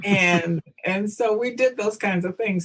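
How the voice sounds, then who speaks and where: A woman speaks with a Southern US accent. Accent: Southern US (Georgia). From US South, rural Georgia. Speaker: historical reenactor. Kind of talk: interview. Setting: podcast.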